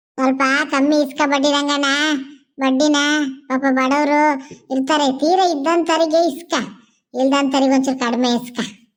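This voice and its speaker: A cartoonish character voice from a woman, high-pitched and monotone, with flat intonation, very even loudness and a fairly slow pace. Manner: brisk, scolding.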